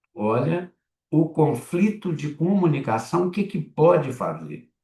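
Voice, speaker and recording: At a very slow pace, a man speaks in a fairly high voice with vocal fry, a dark, mellow tone and ordinary pitch variation. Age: 70s. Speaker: psychoanalyst and lecturer. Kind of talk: lecture. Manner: halting, with frequent repetitions and fillers.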